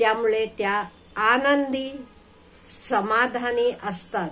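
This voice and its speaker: With a normal speaking voice, a woman's fairly high pitch shows ordinary variation. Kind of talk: casual motivational talk to viewers.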